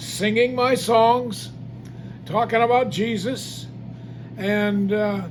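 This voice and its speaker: A man with an American accent speaks in a high pitch with ordinary pitch variation. Audible room echo and noticeable background noise fill the recording. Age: 80s+. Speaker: gospel singer and evangelist. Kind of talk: testimony. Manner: halting.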